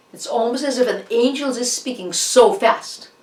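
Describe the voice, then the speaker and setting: The speaker has a Russian accent and an animated tone. Noticeable background noise runs underneath. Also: woman. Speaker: art history lecturer. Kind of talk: lecture. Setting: online class. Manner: halting.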